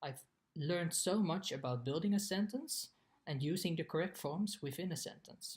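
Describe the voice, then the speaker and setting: This man has a high pitch and a Dutch accent. His intonation is lively and his pace moderate. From Netherlands. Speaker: exchange student. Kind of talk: scripted narration.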